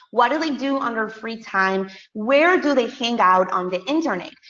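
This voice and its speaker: Her Spanish accent comes through at a moderate pace. The woman's fairly high pitch carries lively intonation. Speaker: business coach and podcast host. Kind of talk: webinar presentation. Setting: online webinar.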